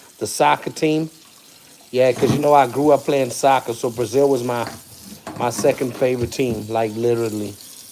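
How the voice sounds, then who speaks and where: Amid noticeable background noise, a man with medium pitch speaks at a moderate pace with fairly even intonation. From South Africa. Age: 40s. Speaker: live streamer. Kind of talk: casual live stream chat while cooking.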